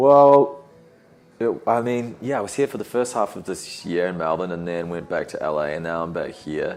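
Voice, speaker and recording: A man with a New Zealand accent speaks at a moderate pace and a medium pitch, his intonation lively. Noticeable background noise is present. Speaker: podcast host and musician. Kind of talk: casual chat.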